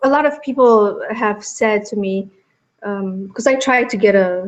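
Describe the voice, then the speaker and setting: A woman with a Romanian accent, fairly high in pitch, at a fairly slow pace with ordinary pitch variation. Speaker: actress. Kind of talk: interview.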